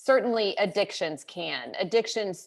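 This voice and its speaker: On a very clean recording with a silent background, a woman with an American accent uses a plain, everyday voice at fairly high pitch, speaking at a fairly slow pace with lively intonation. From US South, rural. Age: 50s. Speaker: conference speaker. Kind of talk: motivational talk.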